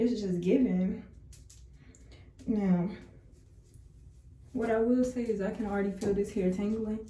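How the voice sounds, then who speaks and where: In a room with audible echo, a woman with a fairly high pitch and a dark, mellow, somewhat breathy tone talks at a fairly slow pace in a monotone, flat delivery, leaving long, frequent pauses. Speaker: beauty vlogger. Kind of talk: tutorial. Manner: casual, chatty.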